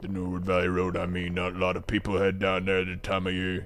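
A man uses a put-on character voice with a very deep, low pitch and monotone, flat intonation. He talks at a very fast pace over clear background noise. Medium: game stream. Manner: ominous.

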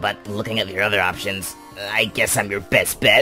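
Clear music plays in the background as the voice moves at a moderate pace. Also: man, fairly low pitch for a man. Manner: curt, irritable.

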